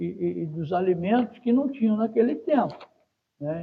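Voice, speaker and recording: Lively intonation from a man with a high pitch. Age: 70s. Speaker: environmental manager, retired oil company employee. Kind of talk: interview. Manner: hesitant fillers, repetitions.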